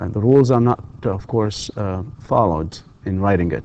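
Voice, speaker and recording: A man speaks with an Arabic accent at a moderate pace. His tone is dark and mellow. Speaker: university lecturer. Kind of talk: lecture. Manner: hesitant, many fillers.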